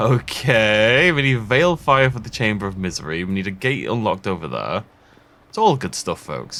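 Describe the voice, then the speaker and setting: Over a silent background in a very clean recording, a man speaks at medium pitch with a bright, sharp tone. His intonation is lively and his loudness swings widely. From northern England. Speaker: gaming YouTuber. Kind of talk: let's play commentary. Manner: casual, meandering.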